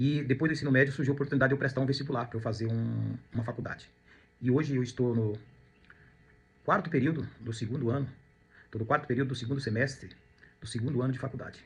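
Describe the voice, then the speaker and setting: A somewhat breathy, very fast delivery broken by long, frequent pauses, with fairly even intonation. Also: man, medium pitch for a man. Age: 50s. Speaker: real estate agent and student. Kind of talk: personal testimony monologue. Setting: at home. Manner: reflective, with hesitations and repetitions.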